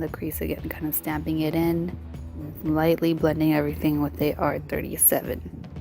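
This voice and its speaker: Music plays in the background as a woman speaks. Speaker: makeup artist. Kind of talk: makeup tutorial voiceover. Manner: casual.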